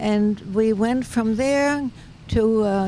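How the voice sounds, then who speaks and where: At a very slow pace, a woman with a medium pitch and a dark, mellow tone speaks in a dry sound with no echo over light background noise. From Germany. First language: German. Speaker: peace activist. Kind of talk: interview; interview answer. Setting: outdoors. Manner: hesitant, many fillers. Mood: warm, reflective. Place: open country. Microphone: handheld.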